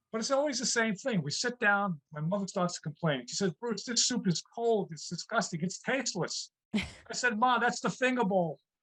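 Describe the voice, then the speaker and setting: This bright, sharp voice with an American accent moves at a fairly quick pace through very wide pitch swings, recorded with a dry, close sound and no echo. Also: man. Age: 60s. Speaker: comedian. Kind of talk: stand-up. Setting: video call.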